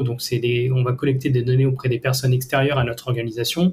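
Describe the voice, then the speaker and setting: The speaker is a man who sounds somewhat breathy. He talks at a very fast pace. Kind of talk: tutorial. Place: home room.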